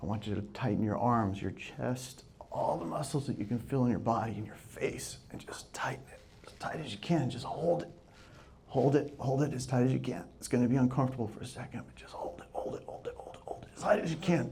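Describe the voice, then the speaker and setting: A man talks fairly quickly in a medium pitch with ordinary pitch variation. His tone is dark and mellow, with vocal fry and big swings in loudness. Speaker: sales and real estate coach, live speaker. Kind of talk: live audience workshop opener, guided breathing exercise. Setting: live room with microphone and audience.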